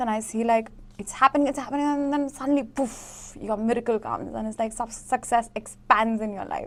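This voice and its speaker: A woman speaks at a fairly high pitch with ordinary pitch variation. Her pace is fairly quick. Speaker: tarot reader. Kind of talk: tarot reading to camera. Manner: fast.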